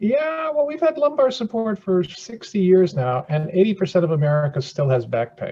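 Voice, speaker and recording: Moderate-paced speech from a man. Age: 70s. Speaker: surgeon and chair inventor. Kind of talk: podcast interview. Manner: repetitive false starts; animated.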